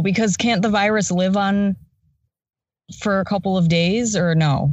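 A woman's somewhat breathy voice at a fairly slow pace, with ordinary pitch variation. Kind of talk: casual chat. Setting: remote call during quarantine. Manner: introverted, relaxed.

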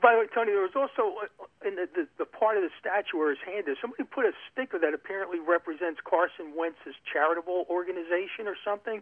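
A very fast pace in a Philadelphia accent. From South Philadelphia. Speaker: caller. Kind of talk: phone call chat.

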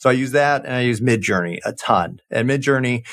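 A man with a medium pitch speaks at a moderate pace on a very clean recording with a silent background. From Southern California, Orange County. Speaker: marketing executive. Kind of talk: interview.

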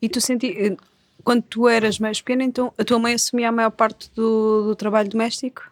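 Fairly high-pitched female speech, monotone and flat, at a moderate pace, with a dry, close sound and no echo. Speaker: podcast host, magazine editor. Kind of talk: casual interview chat.

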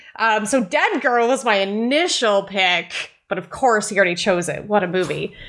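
A plain, everyday voice moves at a moderate pace with ordinary pitch variation and hardly any pauses. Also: woman, fairly high pitch for a woman. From Canada. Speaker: horror writer and podcaster. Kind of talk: casual chat.

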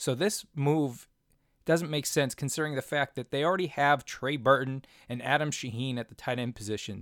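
Recorded very cleanly against a silent background, a man talks at a moderate pace in a medium pitch with ordinary variation. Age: 30s. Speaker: fantasy football podcast host. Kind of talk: solo podcast commentary.

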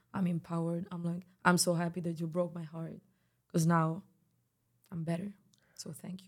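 With a Spanish accent, a woman speaks in a calm, somewhat breathy tone at a fairly low pitch and moderate pace, her intonation monotone and flat, with big swings in loudness and long, frequent pauses. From Spain, Barcelona. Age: 20s. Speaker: singer. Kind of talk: casual interview. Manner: soft-spoken.

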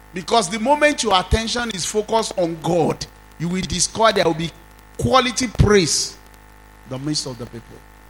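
Against noticeable background noise, a man with a high pitch speaks at a moderate pace in an animated tone with very wide pitch swings. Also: big swings in loudness. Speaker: pastor. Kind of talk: sermon. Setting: church.

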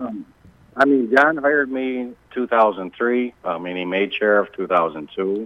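A man with an American accent and a normal speaking voice, lively intonation and a fairly slow pace. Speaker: sheriff candidate. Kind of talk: phone-in interview. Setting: phone call.

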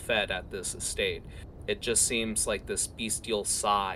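A reading voice that is unforced

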